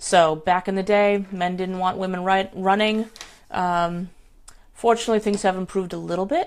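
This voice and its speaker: With an American accent, a woman speaks at a moderate pace and medium pitch in a monotone, flat intonation. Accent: New England accent (joking it's obvious). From New England, US. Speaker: life coach. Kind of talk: casual live stream chat. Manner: chatty, rambling.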